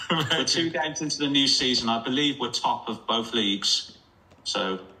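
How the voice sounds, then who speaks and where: With ordinary pitch variation and a fairly high pitch, a man talks over noticeable background noise. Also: moderate pace. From West Midlands, Dudley. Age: 30s. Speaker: amateur footballer in a weight-loss league. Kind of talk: radio interview.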